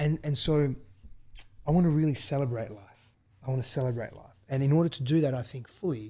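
A man speaks at a fairly quick pace with fairly even intonation and a somewhat breathy voice. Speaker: guest's husband, new father. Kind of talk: casual conversation.

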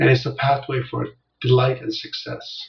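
A man is speaking. He keeps a moderate pace. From South Korea, moved to US at nine. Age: 60s. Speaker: business coach. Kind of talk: interview. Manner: gentle; halting.

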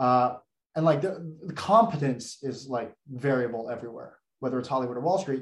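A man's ordinary speaking voice, medium in pitch, at a fairly quick pace. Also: ordinary pitch variation. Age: 20s. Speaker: former investment banker and content creator. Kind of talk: casual interview chat.

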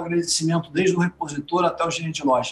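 A man is talking. He speaks at a very fast pace. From Brazil, Rio de Janeiro then São Paulo. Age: 50s. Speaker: accountant, business owner. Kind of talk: interview.

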